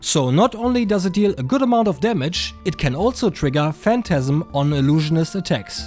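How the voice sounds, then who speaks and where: With music in the background, a man speaks at a moderate pace in a high pitch, his voice making very wide pitch swings. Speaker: card game content creator. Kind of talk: casual game deck tech narration.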